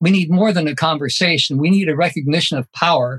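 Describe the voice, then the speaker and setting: A man talks in a plain, everyday voice. His pitch sits fairly high, with ordinary variation. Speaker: professor. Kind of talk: panel discussion. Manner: formal.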